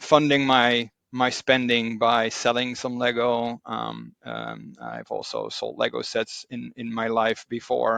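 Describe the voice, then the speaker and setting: A man with a Dutch accent talks at a very slow pace, with hardly any pauses and big swings in loudness. The sound is dry and close, with no echo. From Netherlands. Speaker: Lego hobbyist. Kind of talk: casual chat. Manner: halting, many fillers.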